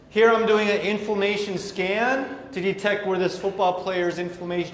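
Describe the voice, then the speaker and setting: In an American accent, a man with a high voice talks at a moderate pace over noticeable background noise and audible room echo. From Michigan, US Midwest. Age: 50s. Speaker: doctor giving a health seminar. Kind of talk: sales pitch seminar. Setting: seminar room with audience.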